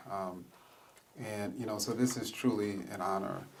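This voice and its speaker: Amid noticeable background noise and audible room echo, a man speaks at a fairly slow pace with fairly low pitch and fairly even intonation. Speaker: history professor. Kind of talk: public lecture. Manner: soft-spoken.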